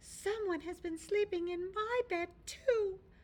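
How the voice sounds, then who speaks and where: This female-sounding voice is a put-on character voice pitched extremely high. It moves at a fairly slow pace. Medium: read story.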